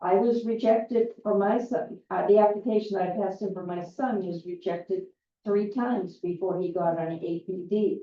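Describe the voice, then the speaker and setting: At a moderate pace, a woman speaks in a medium-pitched voice with fairly even intonation. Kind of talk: public forum Q&A talk. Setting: community meeting with audience. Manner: loud.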